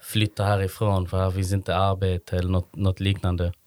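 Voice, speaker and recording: The recording is very clean with a silent background, the sound dry and close with no echo, and the pace moderate. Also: man. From Sweden, Malmö. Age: 30s. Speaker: social entrepreneur, event organiser. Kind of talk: interview. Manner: halting, many fillers.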